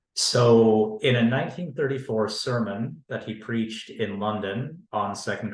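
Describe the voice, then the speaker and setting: The recording carries audible room echo. A man talks at a fairly low pitch and a fairly slow pace, with ordinary pitch variation. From Canada. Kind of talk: academic panel talk. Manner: formal.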